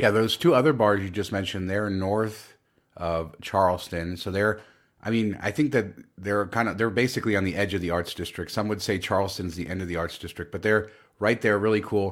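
Heard in a very clean recording with a silent background, a man speaks in an ordinary speaking voice, fairly low, with ordinary pitch variation. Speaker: podcast host. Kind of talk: casual chat.

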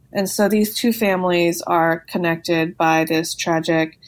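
A woman with a Californian accent and a fairly low voice, on a very clean recording with a silent background. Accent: Californian American. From Los Angeles, San Fernando Valley. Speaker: novelist and lawyer. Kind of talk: interview.

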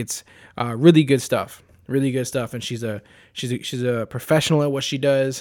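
On a very clean recording with a silent background, a man with a plain, everyday voice speaks at a fairly quick pace with fairly even intonation. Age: 30s. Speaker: podcast host. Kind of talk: casual interview.

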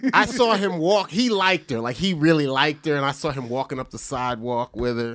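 Here a man with an American accent talks in a normal speaking voice at a fairly high pitch, fairly quick and with hardly any pauses, his intonation lively. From New Jersey. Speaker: comedian and podcast host. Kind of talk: casual chat.

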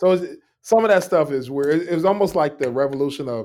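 A man with an ordinary speaking voice talks in a fairly high pitch with ordinary pitch variation, in a very clean recording with a silent background. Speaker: educator and entrepreneur. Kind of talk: casual interview chat.

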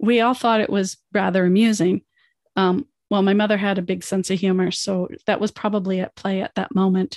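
Over a quiet background, a woman with a plain, everyday voice talks fairly quickly with fairly even intonation, in a dry, close sound with no echo. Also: medium pitch for a woman. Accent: Canadian. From United States, moved to Canada as a child. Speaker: podcast host, life coach. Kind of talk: podcast monologue, self-help.

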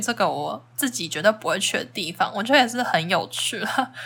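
A woman's very fast, bright, sharp speech with lively intonation and vocal fry. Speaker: travel podcaster. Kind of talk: casual solo podcast talk.

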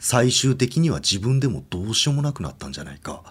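A man is speaking. His pace is fairly quick. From Hokkaido, Obihiro. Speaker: ghost story teller. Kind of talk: ghost story telling. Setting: studio.

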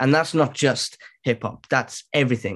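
Over a quiet background, a man talks at a fairly quick pace. His intonation stays fairly even. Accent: Welsh. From Wales. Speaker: musician and entrepreneur. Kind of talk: casual chat. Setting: video call.

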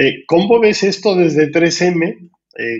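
Here a man speaks with a high-pitched voice. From Spain. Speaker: business school dean and podcast host. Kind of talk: interview.

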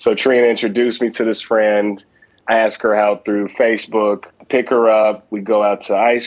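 This man has a plain, everyday voice with a fairly low pitch. He speaks at a fairly slow pace with fairly even intonation. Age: 30s. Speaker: caller. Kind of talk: casual chat.

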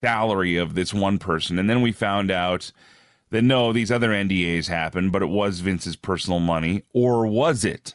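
A man speaks at a moderate pace with a Canadian accent, in a plain, everyday voice of fairly low pitch, very even loudness and ordinary pitch variation. The sound is dry and close with no echo, over a quiet background. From Alberta, Canada. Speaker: radio host and wrestling commentator. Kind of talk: casual interview. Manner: casual, chatty.

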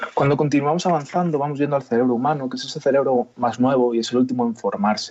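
A man talks very fast in a fairly high pitch with fairly even intonation over noticeable background noise. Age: young. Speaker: chiropractor. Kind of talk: radio interview.

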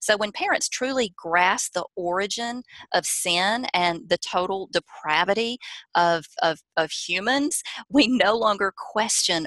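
A woman with a Southern US accent speaks at a fairly slow pace in a bright, sharp tone with very wide pitch swings, the sound dry and close with no echo. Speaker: parenting author and speaker. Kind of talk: interview, advice talk.

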